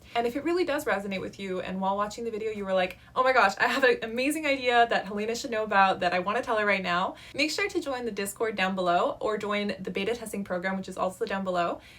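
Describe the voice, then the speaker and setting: A woman speaks at a very fast pace with hardly any pauses. Her pitch sits fairly high. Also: ordinary pitch variation. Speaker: app developer and video creator. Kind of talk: casual vlog talk to camera.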